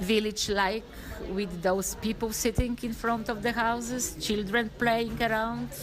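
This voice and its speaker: A woman speaks with a Polish accent at a fairly high pitch. Her intonation is monotone and flat, and her pace fairly slow. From Poland. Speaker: former business owner. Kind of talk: interview. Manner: halting.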